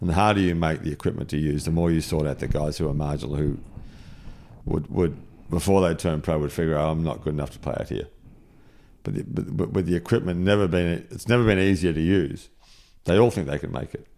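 A man's very deep, low voice with a dark, mellow tone, ordinary pitch variation and a very fast pace. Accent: Australian. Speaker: golf course architect. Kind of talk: casual chat. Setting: golf club compound during tournament.

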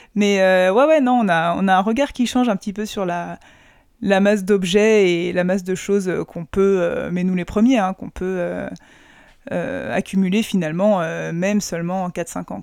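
With a normal speaking voice at medium pitch, a woman talks at a fairly slow pace with ordinary pitch variation in a very clean recording with a silent background. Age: 30s. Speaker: doctor. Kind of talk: casual chat.

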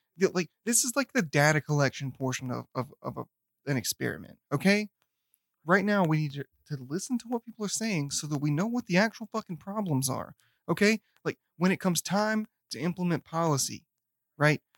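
Speaking with a Southern US accent, a man uses lively intonation and a high pitch at a fairly quick pace, in a dry, close sound with no echo. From US South; Memphis, Tennessee. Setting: recording in the same room.

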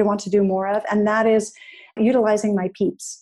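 A woman with an American accent has a dark, mellow tone and a fairly high pitch. She speaks at a moderate pace against a quiet background. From New England, US. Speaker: digital well-being and ethics advisor. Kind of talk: interview conversation.

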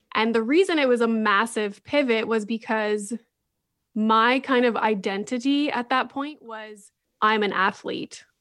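In a Canadian accent, a woman speaks fairly slowly at a fairly high pitch, using a plain, everyday voice. Her pitch varies in the ordinary way, and the recording is very clean with a silent background. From Northern Ontario, Canada (Sudbury). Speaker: psychologist and podcaster. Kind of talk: interview conversation.

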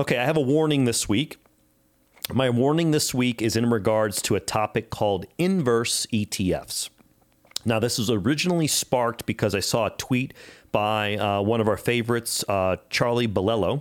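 A man's normal speaking voice at medium pitch and moderate pace, with ordinary pitch variation, in a very clean recording with a silent background. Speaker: podcast co-host, financial advisor. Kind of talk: financial news discussion podcast.

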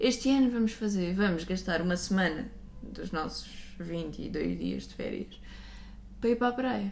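In a room with audible echo, a woman with a European Portuguese accent talks at a moderate pace, leaving long, frequent pauses. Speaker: podcast co-host. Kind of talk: casual chat.

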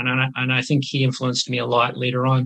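A bright, sharp tone with a Canadian accent at a fairly quick pace. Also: man. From Canada, northern British Columbia. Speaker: neurologist. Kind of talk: interview.

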